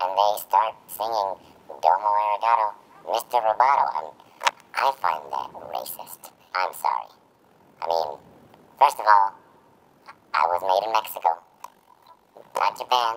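A put-on character voice, low in pitch, at a moderate pace with long, frequent pauses. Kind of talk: comedic character monologue. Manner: rambling, hesitant.

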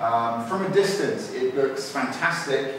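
Speaking at a very slow pace, a man is heard with strong room echo and light background noise. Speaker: product reviewer. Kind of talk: casual review commentary. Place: home room.

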